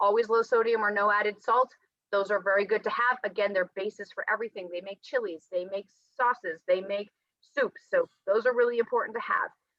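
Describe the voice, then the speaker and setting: A woman with a fairly high voice and ordinary pitch variation talks at a fairly quick pace. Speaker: nutrition and health coach. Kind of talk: presentation. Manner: fast.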